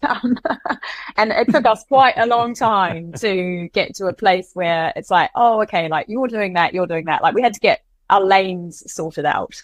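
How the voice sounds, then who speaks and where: A woman talks with a New Zealand accent in a medium pitch. Her intonation is lively. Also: moderate pace. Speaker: co-founder and CEO of a coffee and restaurant company. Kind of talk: interview answer.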